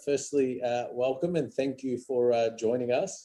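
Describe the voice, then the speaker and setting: Music can be heard in the background. Over it, a man talks at a moderate pace. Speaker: museum founder, interviewer. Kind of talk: interview questions.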